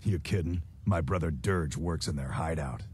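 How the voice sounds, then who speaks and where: A man puts on a character voice, very deep and low in pitch. He growls as he speaks. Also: moderate pace. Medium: video game. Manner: gruff, blunt, tough-guy.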